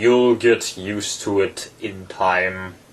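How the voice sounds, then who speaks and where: A man uses a put-on character voice at a very slow pace. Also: fairly low pitch for a man. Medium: read story. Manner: terse, contradicting, short remarks.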